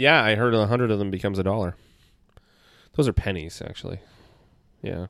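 Very fast speech in a Canadian accent is broken by long, frequent pauses. The recording is very clean, with a silent background. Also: man, fairly low pitch for a man, ordinary pitch variation. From Canada, Toronto. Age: 30s. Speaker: astrologer. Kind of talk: casual chat.

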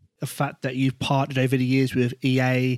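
A man with an English accent, flat and monotone at a moderate pace, in a dry, close sound with no echo. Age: 30s. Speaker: podcast host. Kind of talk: interview.

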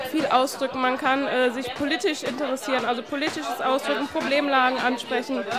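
Crowd noise fills the background and the room echo is audible. A woman talks at a fairly quick pace with a high pitch. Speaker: youth worker and street art festival organiser. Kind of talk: interview. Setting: outdoor event.

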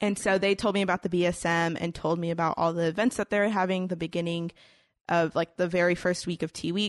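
Spoken very fast with a Texan accent, the voice stays monotone and flat, recorded dry and close with no echo against a quiet background. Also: woman, fairly low pitch for a woman. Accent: Texan American. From Houston, Texas. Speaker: college student. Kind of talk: casual chat.

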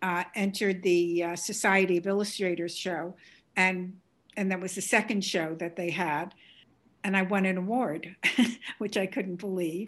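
A woman with a New York accent speaks at a moderate pace with fairly even intonation against a quiet background. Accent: Bronx New York. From New York, the Bronx. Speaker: artist. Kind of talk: interview conversation.

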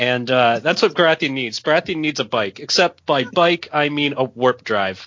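A man with a plain, everyday voice speaks at a moderate pace with hardly any pauses and a fairly high pitch. His intonation is lively, and he has an American accent. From United States. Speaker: podcast guest and card game player. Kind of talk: casual chat about a card game.

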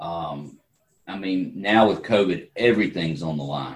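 A man talks with a very deep, low pitch and a slight Southern US accent. His pitch varies in an ordinary way. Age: 60s. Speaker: entrepreneur and political candidate. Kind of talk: interview.

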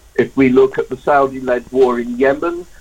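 Speaking at a fairly slow pace, a man talks at a medium pitch. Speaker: anti-arms-trade campaigner. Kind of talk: radio interview. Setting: phone or remote call. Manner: halting, repeats words.

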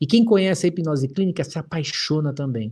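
This man's tone is animated and his intonation lively. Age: 40s. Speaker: hypnotherapist and instructor. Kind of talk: livestream talk to viewers. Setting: live stream.

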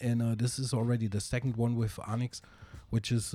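A man with a German accent speaks in a dark, mellow, flat monotone at a medium pitch. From southern Germany. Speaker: hip hop DJ and producer. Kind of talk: casual interview chat.

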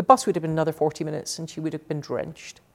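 The speaker is a woman. She talks with a Scottish accent. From Scotland, Glasgow. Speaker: technology executive. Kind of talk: interview. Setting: office.

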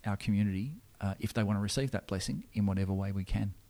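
Over a silent background in a very clean recording, a man with a fairly low pitch talks at a very fast pace with an Australian accent. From Australia, Sydney. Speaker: Anglican minister. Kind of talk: interview. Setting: church. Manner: halting.

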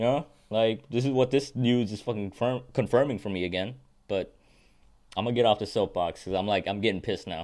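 Spoken at a very fast pace, this very clean recording has a silent background and ordinary pitch variation. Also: man, medium pitch for a man. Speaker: podcast co-host. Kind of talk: casual chat; angry rant. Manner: casual, bro-ish.

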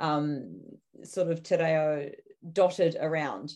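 A woman talks in a New Zealand accent with a fairly low pitch. Her intonation is fairly even, and the background is quiet. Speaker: podcast co-host. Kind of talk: casual interview conversation.

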